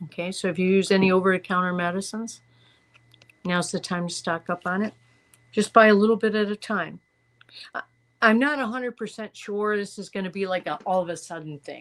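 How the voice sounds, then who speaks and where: A woman speaks at a fairly quick pace with fairly even intonation. The recording is very clean, with a silent background. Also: medium pitch for a woman. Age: 60s. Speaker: tarot reader. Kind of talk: tarot reading monologue. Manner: halting, many fillers and restarts.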